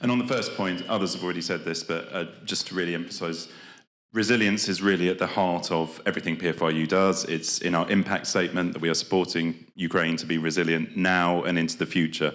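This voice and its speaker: A man with a British accent and a very deep, low pitch speaks at a very fast pace with fairly even intonation in a very clean recording with a silent background. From Britain. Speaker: development programme official. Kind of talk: conference speech. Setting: conference with live audience. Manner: hesitant, many fillers.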